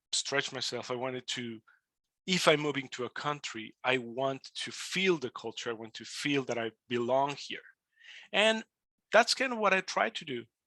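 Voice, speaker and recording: A man talks at a moderate pace with a bright, sharp tone and medium pitch. The sound is dry and close, with no echo. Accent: Spanish. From Mexico. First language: Spanish. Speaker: immigrant podcaster. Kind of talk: webinar talk. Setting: webinar.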